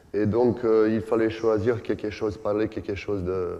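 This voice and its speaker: A man's dark, mellow, fairly low voice with a non-native accent, in audible room echo. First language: not French (speaking French). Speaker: basketball coach, former player. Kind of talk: coaching clinic lecture. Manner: halting, many hesitations.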